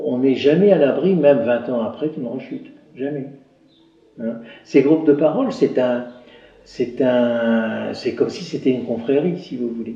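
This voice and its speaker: A man of medium pitch at a fairly slow pace, with long, frequent pauses, big swings in loudness, audible room echo and noticeable background noise. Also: ordinary pitch variation. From northern France, Somme (Picardy). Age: 60s. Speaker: retired garage owner, addiction support volunteer. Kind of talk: documentary interview. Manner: halting.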